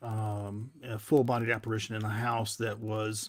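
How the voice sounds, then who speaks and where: Recorded very cleanly against a silent background, a man with a Southern US accent talks at a fairly slow pace and medium pitch. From US South, Tennessee. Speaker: paranormal investigator, TV personality. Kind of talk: podcast interview. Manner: halting, many fillers.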